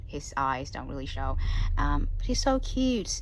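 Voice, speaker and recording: Fairly slow speech from a woman, audible room echo around it. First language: not English. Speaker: collector showing plush toys. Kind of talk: casual show-and-tell vlog. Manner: halting, many fillers.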